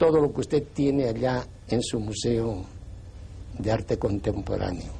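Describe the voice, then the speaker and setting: A man speaks at a fairly slow pace with vocal fry and a dark, mellow tone. His pitch swings very widely. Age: 80s+. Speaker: priest. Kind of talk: TV interview.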